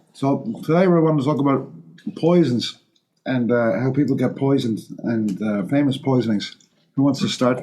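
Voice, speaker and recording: A man's dark, mellow tone with ordinary pitch variation and very even loudness. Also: medium pitch for a man, moderate pace. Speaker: molecular toxicologist, podcast host. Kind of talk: casual chat. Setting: studio.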